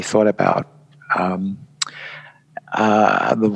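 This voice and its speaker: A man talks with a British accent. Noticeable background noise sits behind him. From England. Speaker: event designer and author. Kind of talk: podcast interview. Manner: halting, many fillers.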